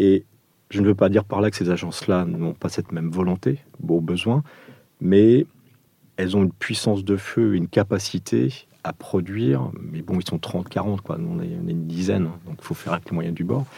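Dark, mellow tone in a man's very deep, low voice. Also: ordinary pitch variation, moderate pace. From Portugal. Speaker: architect. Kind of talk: interview. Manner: hesitant.

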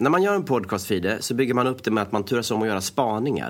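Lively intonation and a fairly quick pace mark a plain, everyday voice on a very clean recording with a silent background. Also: man. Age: 30s. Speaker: actor and podcast host. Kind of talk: comedic scripted chat.

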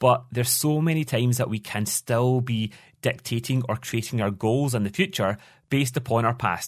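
A man in a Scottish accent, medium pitch with ordinary pitch variation, at a fairly quick pace. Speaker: business coach. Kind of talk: casual interview. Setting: remote call.

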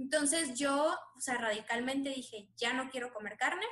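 Speaking at a moderate pace, a woman has an unremarkable speaking voice with ordinary pitch variation. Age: 20s. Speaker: doctor. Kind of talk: interview.

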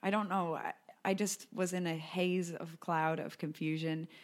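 Her voice sits fairly low, and she speaks with a Californian accent. The recording is very clean, with a silent background. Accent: American, laid-back Californian-sounding. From US, Colorado. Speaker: podcast host. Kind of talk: casual chat.

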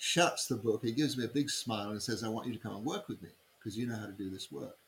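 A man with an English accent talks at a very fast pace. His pitch is medium, and it varies in an ordinary way. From England. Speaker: human design teacher. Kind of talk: interview.

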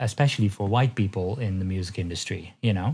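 A man talks at a moderate pace in a somewhat breathy voice. His pitch variation is ordinary. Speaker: electronic music producer and label owner. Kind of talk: interview conversation. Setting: remote call from his studio. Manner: hesitant, many fillers.

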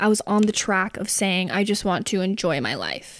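Recorded very cleanly against a silent background, a woman with a fairly high pitch talks at a moderate pace in an unremarkable speaking voice. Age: 20s. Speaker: podcast host. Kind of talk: solo monologue. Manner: casual rambling.

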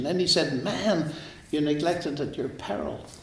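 A man talks at a fairly high pitch with a Northern Irish accent. Noticeable background noise and audible room echo surround him. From Northern Ireland. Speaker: mathematician and author. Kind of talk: interview. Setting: in person at a college.

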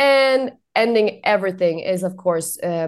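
In a Swedish accent, a woman talks at a fairly slow pace and a medium pitch. The background is quiet. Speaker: journalist. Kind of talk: casual chat.

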